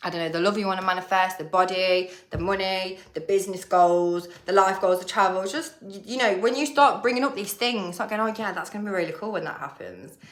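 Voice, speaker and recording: A woman's medium-pitched voice with an English accent, animated and fairly quick, with hardly any pauses, big swings in loudness and ordinary pitch variation, amid audible room echo and noticeable background noise. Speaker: manifestation coach. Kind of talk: casual vlog talk. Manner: fast.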